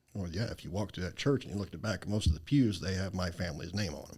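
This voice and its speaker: A man's very deep, low voice, somewhat breathy, with a Southern US accent and lively intonation, on a very clean recording with a silent background. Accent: Southern drawl. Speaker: charity founder. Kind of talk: interview.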